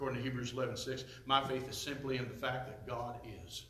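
Talking at a fairly quick pace through noticeable background noise, a man has a warm tone and medium pitch. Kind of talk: sermon. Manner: emphatic, pushes points with rhetorical questions and repetition.

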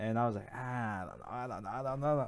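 This man speaks at a medium pitch with a bright, sharp tone. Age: 20s. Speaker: podcast co-host and gamer streamer. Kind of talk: casual chat.

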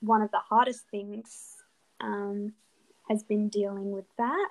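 With an Australian accent, a woman at medium pitch speaks at a very slow pace and fairly even intonation, in a dry, close sound with no echo. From Adelaide, Australia. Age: 20s. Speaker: dental student. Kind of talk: interview.

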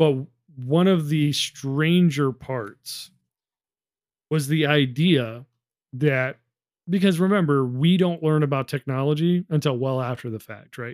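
A man's unremarkable speaking voice at a fairly high pitch and fairly slow pace, with ordinary pitch variation, in a very clean recording with a silent background and a dry, close sound with no echo. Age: 30s. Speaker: podcast co-host, military veteran. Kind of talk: casual chat.

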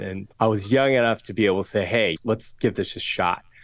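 A man with an American accent speaks with fairly even intonation. The recording is very clean, with a silent background. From Southern California. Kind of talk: interview conversation.

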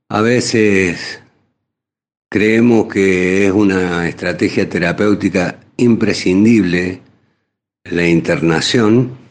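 Speaking at a very slow pace with long, frequent pauses, a man uses a fairly low pitch, ordinary pitch variation and very even loudness. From Argentina, Córdoba. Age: 60s. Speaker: psychiatrist. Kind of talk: radio interview.

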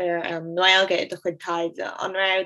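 A woman's fairly low-pitched voice against noticeable background noise. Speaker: podcast host. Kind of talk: podcast intro and outro.

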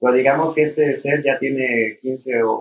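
This man talks at a very slow pace. His medium-pitched voice stays monotone and flat. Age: 30s. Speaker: temazcal leader and traditional healer. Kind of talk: casual chat.

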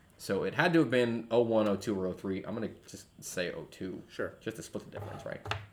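Against noticeable background noise, a man speaks at a moderate pace and medium pitch. His pitch variation is ordinary, while his loudness swings widely. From US military family, moved around (Georgia, Guam). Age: 20s. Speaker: podcast co-host, father. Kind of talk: casual chat over beers.

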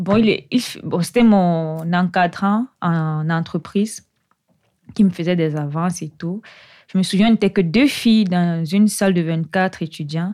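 A woman's plain, everyday voice, fairly low in pitch with ordinary pitch variation, at a fairly slow pace, on a very clean recording with a silent background. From Cameroon, Yaoundé. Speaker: doctoral researcher in computer science. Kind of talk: interview.

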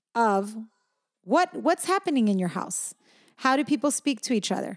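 A woman's unremarkable speaking voice, fairly high in pitch and fairly quick, on a very clean recording with a silent background. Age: 40s. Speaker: podcast co-host and parent. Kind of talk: casual chat.

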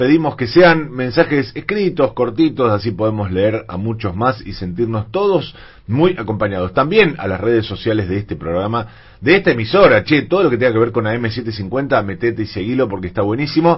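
Somewhat breathy, a man speaks at a moderate pace with a medium pitch and lively intonation. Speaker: radio host. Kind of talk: radio talk show.

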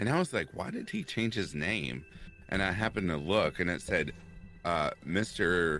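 At a moderate pace, a man with an American accent speaks at a very deep, low pitch with a bright, sharp tone and ordinary pitch variation. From Kentucky. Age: 30s. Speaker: horror story narrator. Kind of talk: casual chat. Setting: live stream.

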